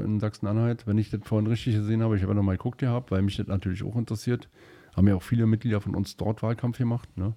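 A man speaks at a fairly low pitch in a dark, mellow tone. His intonation is fairly even. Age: 40s. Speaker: state politician. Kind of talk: interview. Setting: studio.

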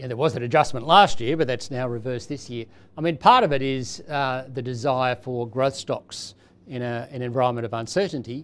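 A man's medium-pitched voice at a moderate pace. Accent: Australian. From Australia. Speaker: chief economist. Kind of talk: panel discussion.

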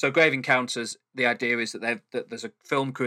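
A man with a Mancunian accent talks at a fairly quick pace in a bright, sharp tone. The sound is dry and close with no echo, and the recording is very clean over a silent background. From Manchester, England. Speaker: podcast co-host. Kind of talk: casual chat. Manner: calm.

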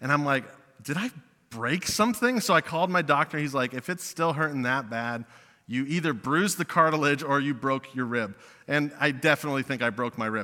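On a very clean recording with a silent background, a man with a fairly high, bright and sharp voice talks at a fairly quick pace with lively intonation. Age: 20s. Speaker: youth pastor. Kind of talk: sermon. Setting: church.

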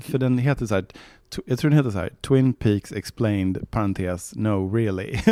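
With a plain, everyday voice, a man talks at a fairly low pitch and moderate pace, with ordinary pitch variation and hardly any pauses, on a very clean recording with a silent background and a dry, close sound with no echo. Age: 40s. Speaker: novelist. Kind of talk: casual interview.

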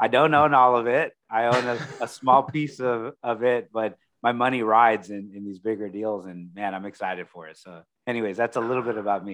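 At a fairly quick pace, a man with a Texan accent speaks at medium pitch with ordinary pitch variation and big swings in loudness. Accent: Texan American. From Texas, Corpus Christi. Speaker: commercial real estate broker. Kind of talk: interview. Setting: live stream interview.

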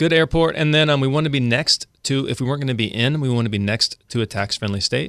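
A man with an American accent talks at a very fast pace, his medium pitch showing ordinary variation. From Central California, small town. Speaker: real estate broker. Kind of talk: casual chat.

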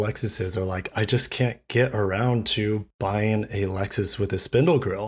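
A man of medium pitch speaks at a moderate pace, somewhat breathy, with ordinary pitch variation. The recording is very clean, the background silent. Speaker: automotive YouTuber. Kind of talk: casual chat.

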